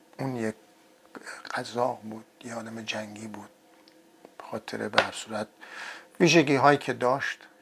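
Amid noticeable background noise, a man with a medium pitch speaks at a moderate pace with fairly even intonation and long, frequent pauses. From Iran. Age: 60s. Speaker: video blogger on history and travel. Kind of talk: monologue talk. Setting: home, seated on sofa.

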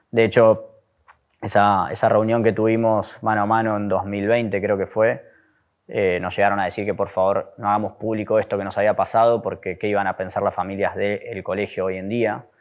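A man speaks in a Rioplatense accent with a fairly low pitch. His delivery is monotone and flat, at a moderate pace. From Buenos Aires, Argentina. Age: 30s. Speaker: abuse survivor, social communicator. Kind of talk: testimony.

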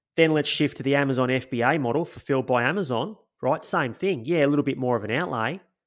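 A man's very fast, enthusiastic delivery, fairly high in pitch with ordinary pitch variation, on a very clean recording against a silent background. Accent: Australian. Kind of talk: casual chat.

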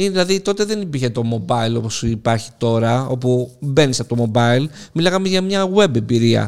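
This man's voice sits at a medium pitch. It moves in very wide pitch swings. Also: moderate pace. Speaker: tech podcast co-host. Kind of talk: casual chat.

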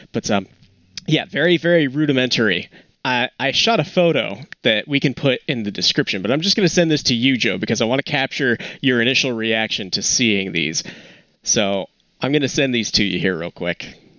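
A man with an unremarkable speaking voice, medium pitch, lively intonation and a fairly quick pace. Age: 20s. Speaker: photography podcast co-host. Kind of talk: casual chat. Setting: remote call from home.

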